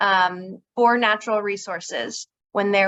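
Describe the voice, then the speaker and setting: A woman with a fairly high pitch and ordinary pitch variation. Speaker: conservation district manager. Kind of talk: workshop presentation. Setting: workshop with live audience. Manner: soft-spoken.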